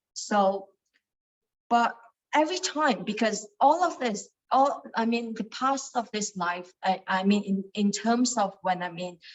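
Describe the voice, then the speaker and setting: Speaking fairly slowly, a woman uses lively intonation at a fairly high pitch. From Malaysia, Kuala Lumpur. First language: Cantonese. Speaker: meditation study group leader. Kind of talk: teaching talk. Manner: halting, many fillers.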